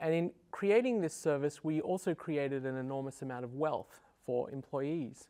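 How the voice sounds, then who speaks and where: Speaking with an Australian accent, a man with a fairly high pitch and a dark, mellow tone keeps a moderate pace. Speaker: software engineer, debate panelist. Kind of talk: televised debate. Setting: TV studio.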